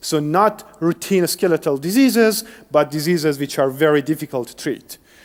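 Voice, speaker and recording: A man with a Persian accent, lively intonation and a fairly slow pace. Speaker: engineering researcher. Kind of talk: lecture.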